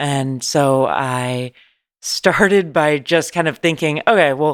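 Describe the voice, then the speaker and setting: A woman is speaking. She has an American accent. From San Francisco, California. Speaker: journalist. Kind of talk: interview. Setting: remote call. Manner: animated.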